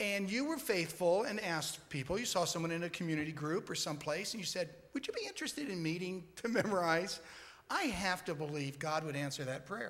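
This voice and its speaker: Lively intonation and a fairly quick pace come through amid audible room echo. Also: man, high pitch for a man. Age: 60s. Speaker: church member in scripture memory group. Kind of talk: on-stage interview testimony.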